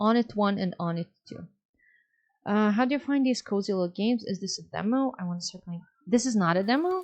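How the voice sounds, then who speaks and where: A woman in a Serbian accent, medium in pitch, with lively intonation. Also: fairly quick pace. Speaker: streamer. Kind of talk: casual chat.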